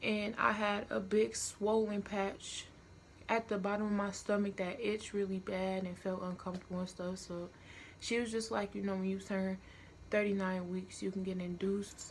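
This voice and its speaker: The voice is quiet, moving at a moderate pace with monotone, flat intonation. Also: woman, medium pitch for a woman. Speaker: vlogger. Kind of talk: storytime vlog. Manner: casual, filler-heavy.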